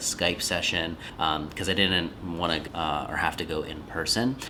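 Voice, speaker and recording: A soft-spoken man talks at a moderate pace, his pitch very deep and low and his intonation fairly even. Noticeable background noise and audible room echo are present. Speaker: podcast coach and creator. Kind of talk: casual vlog talk.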